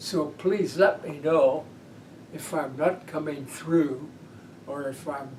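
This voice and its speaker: There is noticeable background noise and audible room echo as a man with an American accent and fairly high pitch speaks very slowly with fairly even intonation. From Pennsylvania. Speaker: peace advocate and social worker. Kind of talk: oral history interview.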